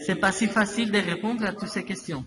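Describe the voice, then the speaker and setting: A man speaks with a Spanish accent over noticeable background noise. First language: Spanish (speaking French). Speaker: interviewee. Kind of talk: interview answers in a second language. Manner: halting, with repetitions and hesitations.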